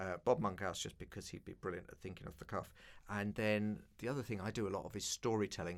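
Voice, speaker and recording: A man with a London accent talks at a fairly quick pace in a fairly low pitch, recorded very cleanly against a silent background. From East London. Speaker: broadcaster and keynote speaker. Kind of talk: interview.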